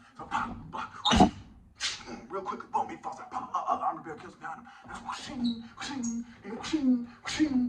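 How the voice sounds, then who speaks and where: A man races through his words as noticeable noise carries on in the background. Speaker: martial arts teacher. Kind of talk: video monologue. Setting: filmed video. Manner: animated.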